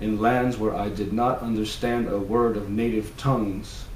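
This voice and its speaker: Through audible room echo, a man speaks at a moderate pace and medium pitch in a monotone, flat intonation. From New York City, the Bronx. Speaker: novelist. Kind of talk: reading aloud. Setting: at home. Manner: hesitant, many fillers.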